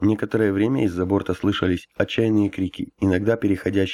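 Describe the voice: A plain reading-aloud delivery moves along with fairly even intonation.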